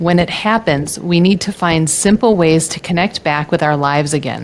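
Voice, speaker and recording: At a moderate pace, a woman with a fairly low pitch and ordinary pitch variation speaks in a plain, everyday voice. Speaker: nutritionist, podcast host. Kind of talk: podcast interview question.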